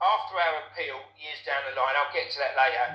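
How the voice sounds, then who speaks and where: A man talking at a fairly quick pace amid audible room echo. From Essex, England. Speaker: former nightclub doorman. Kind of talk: interview testimony. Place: home room. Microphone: webcam.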